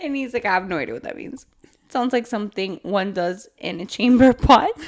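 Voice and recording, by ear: This is a passage read aloud in a natural voice.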